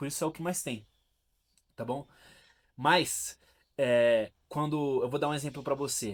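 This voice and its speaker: Fairly even intonation at a fairly slow pace, with long, frequent pauses, on a very clean recording with a silent background. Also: man, fairly high pitch for a man. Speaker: philosophy and self-help video host. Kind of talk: casual talk to camera, explanatory monologue. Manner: conversational, direct address, with hesitations and restarts.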